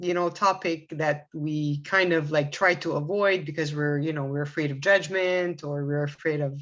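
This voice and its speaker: A woman in a Quebec accent at a fairly slow pace, with a quiet background. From Quebec, Canada. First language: Arabic. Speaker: assistant director of spiritual organization. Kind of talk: podcast interview. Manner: hesitant, many fillers.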